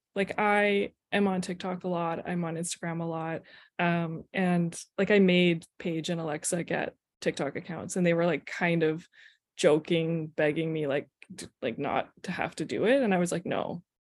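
This woman has a plain, everyday voice at a fairly low pitch, with fairly even intonation. She keeps a moderate pace in a very clean recording with a silent background. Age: 30s. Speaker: head of marketing at a brewery, former brewer. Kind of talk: casual chat.

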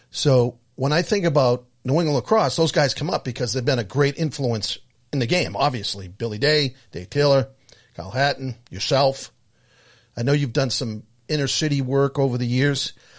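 Over a quiet background, a man speaks at a medium pitch in a somewhat breathy voice. His pace is moderate and his pitch variation ordinary. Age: 60s. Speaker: podcast co-host. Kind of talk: casual chat.

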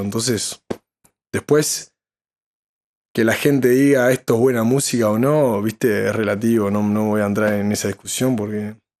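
A man with a Uruguayan accent, medium pitch, fairly even intonation and a moderate pace. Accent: Rioplatense Spanish (Uruguayan). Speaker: musician and songwriter. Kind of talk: casual chat. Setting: live stream.

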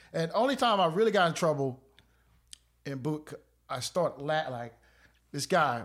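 A man with a fairly high pitch, lively intonation and long, frequent pauses, in a North Carolina accent, on a very clean recording with a silent background. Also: moderate pace. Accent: Southern US, North Carolina. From North Carolina (Clayton). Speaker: retired Air Force veteran. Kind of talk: casual interview chat.

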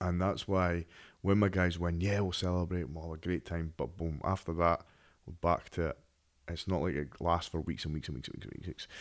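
A man with an English accent speaks at a fairly quick pace in a very deep, low pitch. His intonation is fairly even, and the recording is very clean with a silent background. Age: 30s. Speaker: podcast host and MMA strength and conditioning coach. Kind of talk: casual solo podcast monologue. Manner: conversational, informal.

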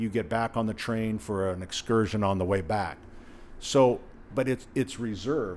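A plain, everyday voice, a man at medium pitch with ordinary pitch variation and a moderate pace. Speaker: hardware store owner. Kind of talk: interview. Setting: in his store.

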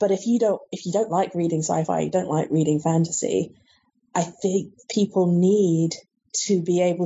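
A woman's fairly low, somewhat breathy voice at a moderate pace, with fairly even intonation. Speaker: book editor and reviewer. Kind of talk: interview.

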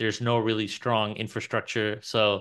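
A man with a New York accent, fairly low in pitch, bright and sharp in tone, at a fairly quick pace over a quiet background. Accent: New York American. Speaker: podcast host. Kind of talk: casual interview.

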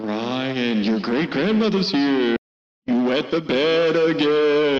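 Putting on a character voice, a man speaks very slowly at a fairly high pitch, with a clear echo around him. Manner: creepy.

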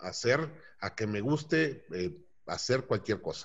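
A somewhat breathy male voice. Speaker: business owner. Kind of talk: interview. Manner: halting.

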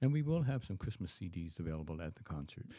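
This man has a very deep, low pitch and a dark, mellow tone, with a Canadian accent. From Canada, Ontario. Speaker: choir director. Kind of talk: radio interview. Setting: studio.

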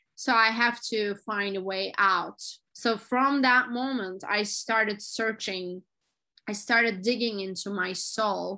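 In a fairly high, bright and sharp voice with a Turkish accent, a woman speaks very slowly with fairly even intonation against a quiet background. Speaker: motivational speaker. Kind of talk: interview.

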